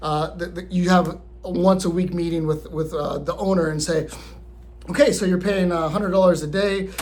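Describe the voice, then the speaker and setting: Amid audible room echo, a man talks very fast in a fairly high voice with monotone, flat intonation. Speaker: vlogger on living abroad and remote work. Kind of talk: casual vlog talk to camera. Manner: halting, many fillers and repeats.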